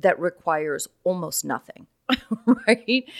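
The woman's voice is croaky, with ordinary pitch variation and a dry, close sound with no echo. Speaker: podcast host and recovery life coach. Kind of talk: solo podcast talk. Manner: animated.

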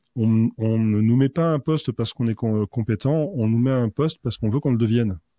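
A man of medium pitch with a dark, mellow tone and ordinary pitch variation, at a moderate pace, in a dry, close sound with no echo and a quiet background. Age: 40s. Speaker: author, freemason. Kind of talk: casual chat.

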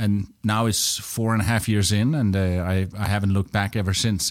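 A man with a Danish accent speaks at a moderate pace in a fairly low pitch, on a very clean recording with a silent background. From Denmark. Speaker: radio professional and travel podcaster. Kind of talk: interview. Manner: halting.

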